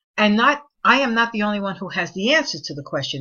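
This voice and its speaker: A woman with a New York accent, at a fairly quick pace. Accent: New York City (Bronx). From New York City, Spanish Harlem and the Bronx. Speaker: college professor. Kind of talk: recorded online course lecture. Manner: conversational.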